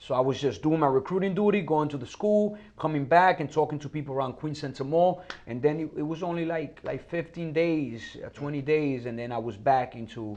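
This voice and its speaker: A man with a Dominican accent talks at a fairly quick pace with hardly any pauses and a fairly high pitch. His pitch varies in an ordinary way, and background noise is noticeable. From Dominican Republic, raised partly in New York. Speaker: Marine veteran and actor. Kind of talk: casual interview chat.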